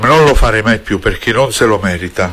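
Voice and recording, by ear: A man talks at a fairly quick pace, pitched fairly low with ordinary pitch variation. His fairly bright tone carries a slightly husky edge.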